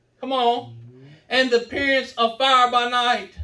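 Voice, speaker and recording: A man with a Southern US accent shouts in a raised, projected voice. His tone is bright and sharp, his pace fairly slow. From US South. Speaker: preacher. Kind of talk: revival sermon, hellfire exhortation with congregation call-and-response. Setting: church with live congregation. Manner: fiery, escalating shouted warnings punctuated by amens; rhythmic, repetitive cadence hammering short phrases. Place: church. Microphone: camera far.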